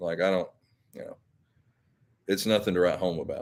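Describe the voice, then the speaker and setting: A man speaks with a Southern accent. The recording is very clean and the background silent. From Alabama. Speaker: YouTuber. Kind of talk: live stream chat. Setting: live stream. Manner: casual, halting.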